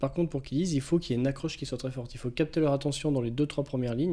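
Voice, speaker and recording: With a dark, mellow tone, a man speaks at medium pitch with fairly even intonation and a somewhat breathy quality. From France, Touraine. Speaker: social media agency owner. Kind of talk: casual interview. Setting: his agency's office.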